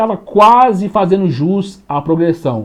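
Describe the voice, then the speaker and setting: With a Brazilian accent, a man speaks at a fairly slow pace with lively intonation. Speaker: law teacher. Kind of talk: lecture. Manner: casual, colloquial.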